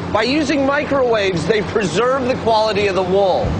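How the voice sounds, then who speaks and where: Music plays in the background. A man talks at a moderate pace with ordinary pitch variation. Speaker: TV show host. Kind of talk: TV presenter explanation. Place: factory.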